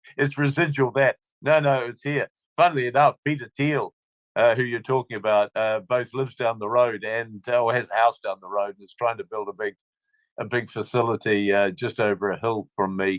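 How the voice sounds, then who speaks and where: Speaking at a fairly quick pace with an American accent, a man with a medium-pitched voice shows ordinary pitch variation and big swings in loudness, recorded dry and close with no echo. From New Zealand. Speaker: libertarian commentator. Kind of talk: interview conversation. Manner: hesitant, many fillers and repetitions.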